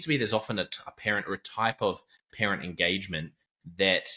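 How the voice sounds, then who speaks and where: Using a bright, sharp tone, a man talks at a fairly quick pace. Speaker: podcast host. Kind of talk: podcast interview talk.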